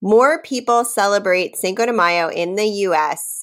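Here a woman speaks with an American accent. The recording is very clean, with a silent background. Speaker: podcast co-host. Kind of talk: casual chat. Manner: laughs a lot, loud laugh.

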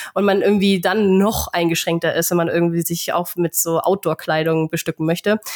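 Over noticeable background noise, a woman with a fairly low pitch talks at a fairly quick clip in a monotone, flat delivery, with hardly any pauses, very even loudness and a dry, close sound with no echo. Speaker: podcast host. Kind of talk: casual chat.

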